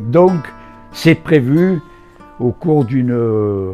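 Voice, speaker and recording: A man with a southern French accent speaks at medium pitch with lively intonation. Music plays in the background. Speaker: adventurer and poet. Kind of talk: interview answer. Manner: storytelling, casual.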